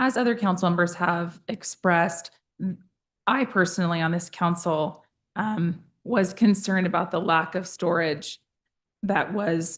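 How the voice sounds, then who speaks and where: A woman's raspy put-on character voice, fairly low in pitch, at a moderate pace. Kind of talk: formal council meeting.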